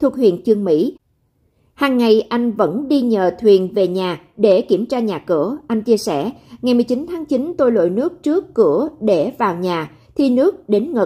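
Over a silent background in a very clean recording, a woman with a dark, mellow tone and a fairly high pitch speaks fairly slowly, her pitch swinging very widely. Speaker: news presenter. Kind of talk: news reading. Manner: formal.

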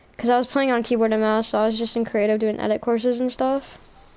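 A woman speaks at a fairly high pitch. Her intonation is monotone and flat. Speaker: gamer live streamer. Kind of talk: casual livestream gaming chat. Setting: home gaming setup, livestream.

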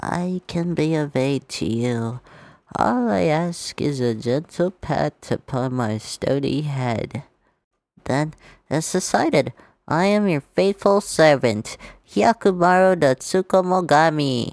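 A put-on character voice speaks at a fairly slow pace in a low-to-middle pitch. The recording is very clean, with a silent background. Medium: voice reel. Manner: solemn, formal, devoted.

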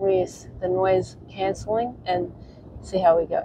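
At a fairly slow pace, the voice carries a dark, mellow tone with a slightly husky edge. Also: woman.

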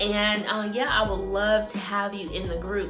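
A woman at a fairly slow pace, with clear music playing in the background. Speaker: salon owner vlogger. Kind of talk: casual vlog chat. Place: home room. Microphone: phone near.

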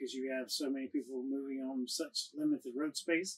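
The pitch shifts in an ordinary way. The speaker is a man. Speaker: travel vlogger. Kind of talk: casual vlog chat. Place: home room.

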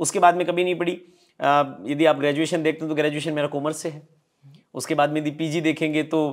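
A man's fairly high-pitched voice, monotone and flat, at a fairly quick pace with long, frequent pauses and a quiet background. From Rajasthan. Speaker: stage anchor and motivational speaker; stage anchor, motivational speaker. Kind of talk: interview conversation. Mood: relaxed, smiling storytelling. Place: home room. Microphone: lapel.

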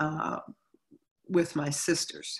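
Very slow delivery in a bright, sharp tone over a quiet background. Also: woman. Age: 60s. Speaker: singer. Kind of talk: interview. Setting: video call. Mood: reflective, calm. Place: home room. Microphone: video call.

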